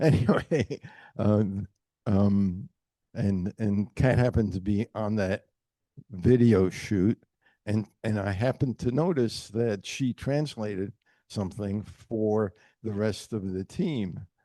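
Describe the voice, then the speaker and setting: At a very slow pace, a man speaks in a fairly low, dark, mellow voice with ordinary pitch variation, the sound dry and close with no echo against a quiet background. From New York City, US. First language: German. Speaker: retired business executive and author. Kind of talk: panel book talk. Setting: event with audience. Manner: halting, many repetitions.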